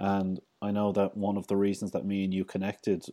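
A man's fairly low, dark, mellow voice in an Irish accent, monotone and flat at a fairly quick pace, on a very clean recording with a silent background. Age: 30s. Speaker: podcast host. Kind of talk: casual interview chat.

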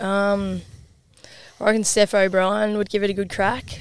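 With an Australian accent, a woman speaks at a medium pitch. Her intonation is monotone and flat. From Queensland, Australia. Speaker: women's football player, team co-captain. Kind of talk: casual chat.

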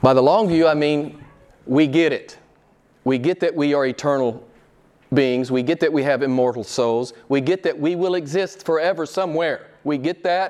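A man with a fairly high pitch talks at a moderate pace. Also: ordinary pitch variation. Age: 60s. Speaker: pastor. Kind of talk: sermon. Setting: church. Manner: halting.

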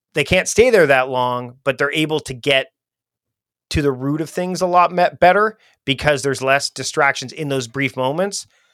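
An ordinary speaking voice moves at a moderate pace. The sound is dry and close with no echo, on a very clean recording with a silent background. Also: man, fairly high pitch for a man, ordinary pitch variation. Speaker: productivity expert. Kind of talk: interview conversation.

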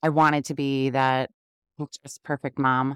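A woman with a New York accent talks at a fairly quick pace. The sound is dry and close, on a very clean recording with a silent background. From Queens, New York. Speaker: podcast host, working mom. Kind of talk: solo podcast monologue, friendly and motivational.

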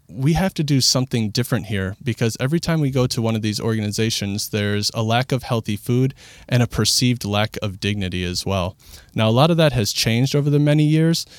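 Very fast speech with ordinary pitch variation, dry and close with no echo, on a very clean recording with a silent background. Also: man, medium pitch for a man. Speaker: executive director of a community cafe. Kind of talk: casual interview. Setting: studio.

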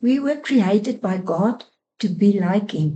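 The voice is somewhat breathy with a dark, mellow tone, moving very slowly with lively intonation. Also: woman. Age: 60s. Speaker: charity finance director. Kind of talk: faith-based discussion. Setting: studio.

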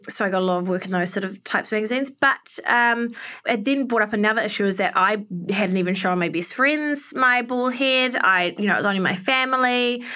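On a very clean recording with a silent background, a woman with a New Zealand accent talks at a fairly quick pace in a fairly high pitch, her tone bright and sharp and her pitch variation ordinary. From New Zealand, Auckland. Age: 30s. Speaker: fashion and beauty influencer. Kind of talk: casual interview chat.

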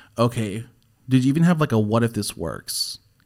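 A man talks in a normal speaking voice with ordinary pitch variation. The recording is very clean, and the background is silent. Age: 20s. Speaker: podcast host. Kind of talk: casual chat. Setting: studio.

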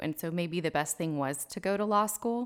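A woman with a normal speaking voice and an American accent speaks at a moderate pace in a fairly low pitch, with ordinary pitch variation, on a very clean recording with a silent background. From Texas Hill Country (Fredericksburg). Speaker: family lawyer, law school alumni director. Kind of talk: interview.

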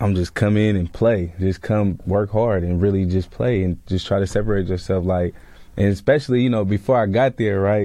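This man has a dark, mellow tone and a fairly low pitch, speaking with an American accent. His pace is moderate, his intonation fairly even and his loudness very even. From Sacramento, California. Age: 20s. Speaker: recent college graduate and football player. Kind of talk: casual interview.

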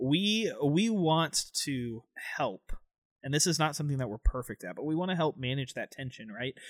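With an American accent and a plain, everyday voice, a man talks at a moderate pace with fairly high pitch and lively intonation, in a very clean recording with a silent background and a dry, close sound with no echo. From Florida (Tampa). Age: 20s. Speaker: student pastor and podcast co-host. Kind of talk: casual chat.

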